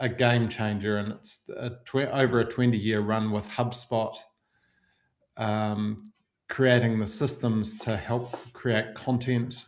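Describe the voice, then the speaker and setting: With a New Zealand accent, a man speaks at a very slow pace in monotone, flat intonation. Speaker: marketing software agency owner. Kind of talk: webinar presentation.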